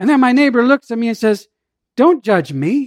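A man talks at a fairly slow pace, his voice dry and close with no echo, on a very clean recording with a silent background. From Southern California (born in Jamaica, moved as child). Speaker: pastor. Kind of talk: sermon.

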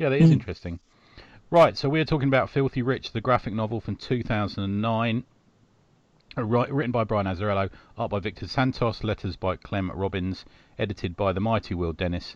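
A man's fairly low voice, a normal speaking voice, at a fairly quick pace against a quiet background. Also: ordinary pitch variation. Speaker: podcast host. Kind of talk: casual chat.

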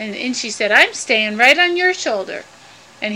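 With lively intonation, someone is reading aloud in a natural voice.

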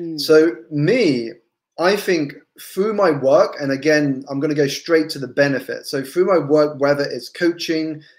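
A fairly high-pitched male voice with an English accent, on a very clean recording with a silent background. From England. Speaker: business coach. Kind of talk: interview.

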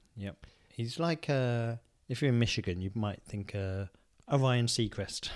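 In an English accent, a man talks quietly at a fairly slow pace with ordinary pitch variation. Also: medium pitch for a man. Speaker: podcast co-host. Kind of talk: casual chat.

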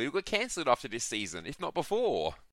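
A man with an Australian accent talks at a fairly quick pace, his bright, sharp tone edged with vocal fry. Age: 20s. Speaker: podcast guest. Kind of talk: casual chat.

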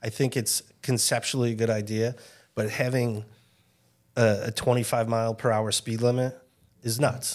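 A man has a plain, everyday voice with an American accent and a medium pitch. His pace is moderate and his intonation fairly even. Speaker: podcast host. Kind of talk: casual chat.

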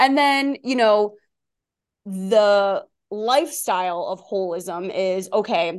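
Speaking very slowly, a woman with a Long Island accent uses a fairly high pitch and lively intonation. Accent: New York (Long Island). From Long Island, New York. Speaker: wellness coach and author. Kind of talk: casual interview conversation.

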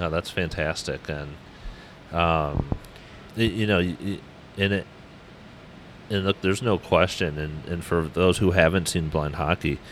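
With long, frequent pauses, a man speaks at a very deep, low pitch over noticeable background noise. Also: fairly even intonation, fairly slow pace. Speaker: podcast host. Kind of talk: interview.

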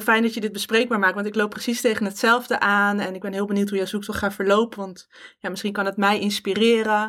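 On a very clean recording with a silent background, a bright, sharp voice moves at a fairly quick pace in a monotone, flat intonation. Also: woman. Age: 30s. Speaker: podcast host. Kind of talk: personal podcast monologue.

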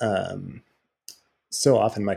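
Dark and mellow in tone, a man talks with an American accent. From Southern California (Irvine, Orange County). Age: 30s. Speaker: outdoor photographer. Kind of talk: interview.

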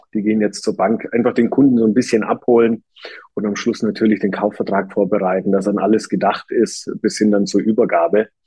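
A man talks at a fairly quick pace in an unremarkable speaking voice. His pitch sits fairly low and his intonation stays fairly even. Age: 30s. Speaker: real estate agent. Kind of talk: podcast interview.

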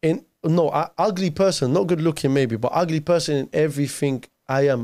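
On a very clean recording with a silent background, a man speaks with a London accent. His fairly high voice has a dark, mellow tone and ordinary pitch variation. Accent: London multicultural English. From London, arrived from Iraq aged nine. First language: Arabic. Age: 30s. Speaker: youth preacher. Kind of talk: casual interview chat.

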